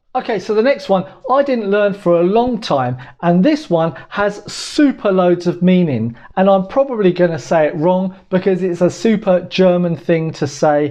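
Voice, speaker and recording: This man's voice is high-pitched. His intonation is lively. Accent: British. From Britain. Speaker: language tutorial YouTuber. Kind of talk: casual talk to camera, language tutorial.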